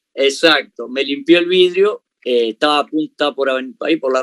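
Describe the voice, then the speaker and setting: At a moderate pace and in a Uruguayan accent, this voice has ordinary pitch variation, recorded dry and close with no echo. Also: man. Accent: Rioplatense Spanish (Uruguayan). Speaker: comedian. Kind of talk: interview. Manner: halting, frequent repetitions.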